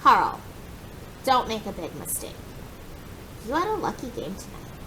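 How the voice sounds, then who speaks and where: A woman puts on a character voice at a high pitch and moderate pace. Loud background noise fills the recording. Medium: read story. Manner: gruff.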